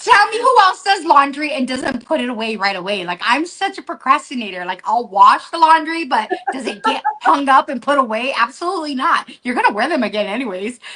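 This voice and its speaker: A woman's raised, projected voice, high in pitch and animated, at a fairly quick pace with hardly any pauses and very wide pitch swings, over noticeable background noise. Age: 40s. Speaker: product user giving a testimonial. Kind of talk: testimony in a casual live chat.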